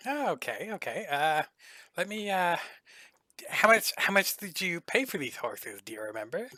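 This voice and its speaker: A man speaks in a put-on character voice, high-pitched, at a moderate pace with long, frequent pauses, on a very clean recording with a silent background. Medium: actual play. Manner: eager, friendly.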